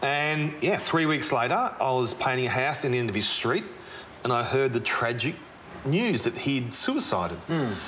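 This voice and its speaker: Over light background noise, a man with an Australian accent speaks at a moderate pace, using lively intonation and keeping his loudness very even. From Melbourne, Australia. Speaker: tradesman and charity founder; presenter. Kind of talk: interview. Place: factory.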